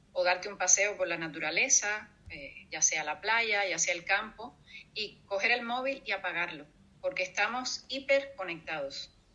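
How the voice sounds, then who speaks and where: In a plain, everyday voice, a woman talks at a fairly slow pace and medium pitch with ordinary pitch variation. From Cuba. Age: 50s. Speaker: storyteller and writer. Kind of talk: interview.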